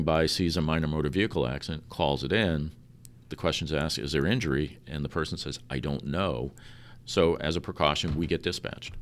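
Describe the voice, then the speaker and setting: A man speaks at a very deep, low pitch with vocal fry. His pace is fairly quick, with ordinary pitch variation. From New York. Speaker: ambulance service director. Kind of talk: interview. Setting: ambulance facility.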